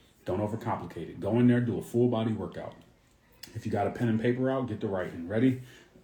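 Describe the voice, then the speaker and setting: A man with a dark, mellow tone and a medium pitch talks at a very fast pace, somewhat breathy, his intonation fairly even, with audible room echo around him. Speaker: fitness coach. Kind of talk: live stream Q&A. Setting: Instagram live stream.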